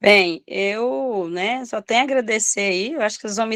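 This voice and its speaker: On a dry, close sound with no echo, a woman has a normal speaking voice with ordinary pitch variation. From Minas Gerais, Brazil. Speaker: preschool teacher. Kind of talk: study group discussion.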